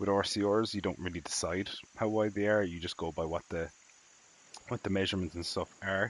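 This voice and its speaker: With an Irish accent, a man with a very deep, low voice talks very fast in fairly even intonation. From Ireland, southwest coast. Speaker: video game streamer. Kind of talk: live-stream commentary. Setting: live stream. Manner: casual, with many fillers.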